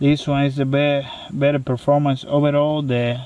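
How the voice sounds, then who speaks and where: A man speaks at a fairly high pitch in a non-native accent. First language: not English. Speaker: knife reviewer. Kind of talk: product review. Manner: hesitant, many fillers.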